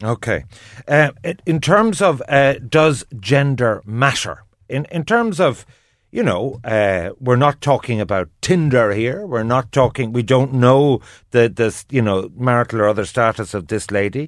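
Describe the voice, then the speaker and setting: In an Irish accent, a man speaks at a fairly slow pace with lively intonation. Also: medium pitch for a man. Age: 50s. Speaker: radio host. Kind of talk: radio phone-in discussion.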